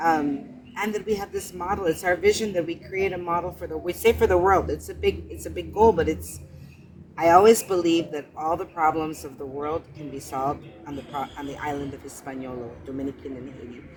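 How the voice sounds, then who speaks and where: A woman with a very deep, low pitch speaks with lively intonation and big swings in loudness. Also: fairly quick pace. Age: 60s. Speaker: charity founder. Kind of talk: interview. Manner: halting.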